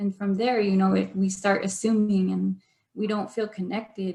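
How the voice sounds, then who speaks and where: In a monotone with flat intonation, a woman speaks with a dark, mellow tone that is somewhat breathy. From Arizona, Navajo Nation. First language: Navajo. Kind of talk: online workshop presentation.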